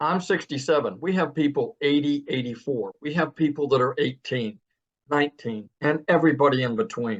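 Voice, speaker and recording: An unremarkable speaking voice from a man, fairly high in pitch with ordinary pitch variation, at a moderate pace in a dry, close sound with no echo. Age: 60s. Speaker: program member giving testimony. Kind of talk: testimony.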